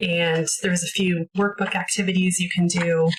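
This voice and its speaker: An unremarkable speaking voice with a Canadian accent. It moves at a moderate pace. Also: woman. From Canada. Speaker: homeschooling parent, video creator. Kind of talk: casual tutorial, curriculum walkthrough. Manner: casual, many filler words.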